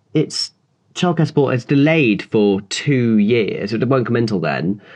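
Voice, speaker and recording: A man speaks fairly slowly with lively intonation. He has an ordinary speaking voice. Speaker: political reporter. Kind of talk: casual chat.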